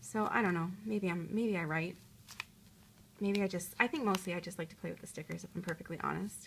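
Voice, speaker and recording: A woman speaks at a fairly quick pace. Her fairly low voice carries vocal fry. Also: ordinary pitch variation. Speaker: journaling vlogger. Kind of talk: casual show-and-tell vlog. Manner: fast; hesitant, filler words.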